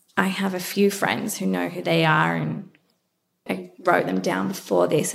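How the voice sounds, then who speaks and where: This voice has an Australian accent. The woman talks at a fairly slow pace. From Australia, Melbourne. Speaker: beauty brand founder. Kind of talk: interview.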